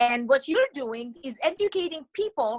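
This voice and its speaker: The speech moves at a moderate pace with lively intonation, in a dry, close sound with no echo. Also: woman. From Israel. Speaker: author and educator. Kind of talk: interview.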